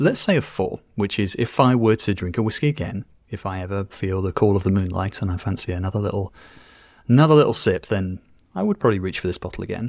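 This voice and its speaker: Fairly low-pitched man with a British accent, at a fairly quick pace, in a dry, close sound with no echo. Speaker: TypeScript educator. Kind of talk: casual interview chat. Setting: remote call.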